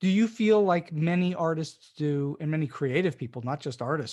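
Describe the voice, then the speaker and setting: Against a quiet background, a plain, everyday voice moves at a moderate pace. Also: man. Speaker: podcast host. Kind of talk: interview.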